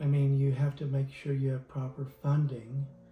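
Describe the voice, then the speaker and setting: With music behind him, a man talks at a fairly high pitch. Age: 60s. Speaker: retired lawyer turned innkeeper. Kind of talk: interview. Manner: halting.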